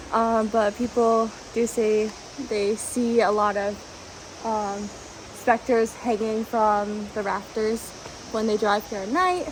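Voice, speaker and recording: Very slow speech from a woman with fairly high pitch and fairly even intonation, long, frequent pauses and noticeable background noise. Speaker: vlogger. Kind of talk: travel vlog narration. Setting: outdoors. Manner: hesitant, many fillers; loud.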